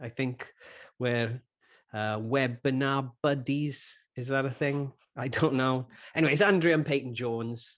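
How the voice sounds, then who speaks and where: In a Welsh accent, a man speaks at a fairly slow pace with fairly even intonation and long, frequent pauses. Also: medium pitch for a man. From Wales. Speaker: podcast co-host and church planter. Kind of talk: interview intro, casual. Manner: halting, many fillers.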